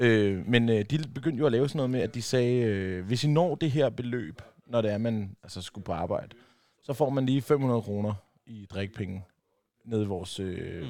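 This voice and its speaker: A man talks at a medium pitch and a moderate pace, his tone dark and mellow. His intonation is lively against a quiet background. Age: 30s. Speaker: co-host. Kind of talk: casual banter.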